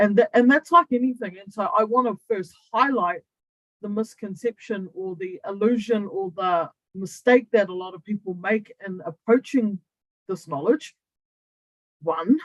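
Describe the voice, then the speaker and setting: With a New Zealand accent, a woman talks at a medium pitch and moderate pace with lively intonation and big swings in loudness, in a dry, close sound with no echo. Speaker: human design coach. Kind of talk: online training talk. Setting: Zoom livestream to YouTube. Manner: casual, conversational.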